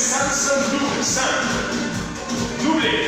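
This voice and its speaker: Clear music plays in the background as a man speaks amid audible room echo. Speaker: fitness instructor. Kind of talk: workout class instruction. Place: empty room. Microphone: camera far.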